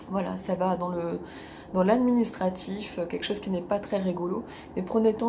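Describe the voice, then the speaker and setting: A woman at a medium pitch and moderate pace, flat and monotone, with audible room echo and noticeable background noise. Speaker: life coach. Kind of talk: advice monologue.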